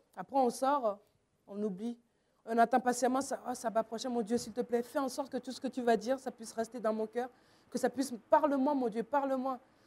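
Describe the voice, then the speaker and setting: A high-pitched woman's voice with a dark, mellow tone and fairly even intonation. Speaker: youth preacher. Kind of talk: sermon. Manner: fast.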